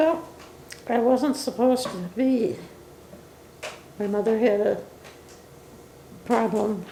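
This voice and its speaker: A woman with a fairly high voice speaks very slowly, with ordinary pitch variation and noticeable background noise. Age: 80s+. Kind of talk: interview answer. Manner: hesitant, reminiscing.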